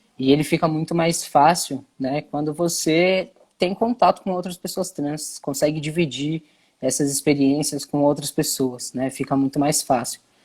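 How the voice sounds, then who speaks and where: A man's fairly high-pitched, ordinary speaking voice at a fairly slow pace with fairly even intonation, on a very clean recording with a silent background. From Brazil, São Paulo city. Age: 20s. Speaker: content creator and activist. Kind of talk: interview.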